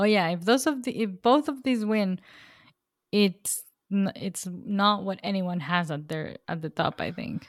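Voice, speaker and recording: A woman's medium-pitched voice, an ordinary speaking voice, at a fairly slow pace with lively intonation. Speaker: podcast co-host. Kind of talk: casual chat. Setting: remote recording.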